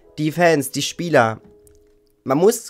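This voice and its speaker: A man's voice with faint music in the background. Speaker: football YouTuber. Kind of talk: angry rant about team's failures. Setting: video channel, solo. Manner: indignant; harsh, blunt. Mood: frustrated, critical. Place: home room.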